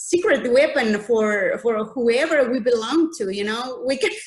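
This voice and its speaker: A woman with a non-native accent speaks at a fairly slow pace in a high pitch. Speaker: audience member. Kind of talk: Q&A comment in webinar. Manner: halting, many repetitions.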